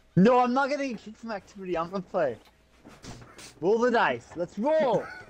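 Over noticeable background noise, a man talks in a high pitch at a fairly quick pace. His intonation is lively, and his loudness swings widely. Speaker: gamer. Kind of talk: casual chat.

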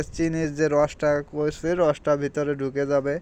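This man's pitch is fairly high. His intonation is monotone and flat. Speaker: cooking video creator. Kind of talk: cooking tutorial. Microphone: phone recording.

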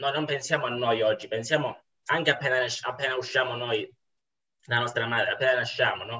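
A man talks at a fairly quick pace and a medium pitch, with fairly even intonation. His speech has long, frequent pauses over a quiet background. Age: 20s. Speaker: university student, former pastry chef; guest. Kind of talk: philosophical dialogue. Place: home room. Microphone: video call.

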